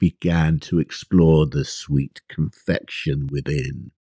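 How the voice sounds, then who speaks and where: Very slowly, a man with an English accent speaks in a dark, mellow tone, the sound dry and close with no echo. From England. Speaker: author. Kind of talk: poetry reading.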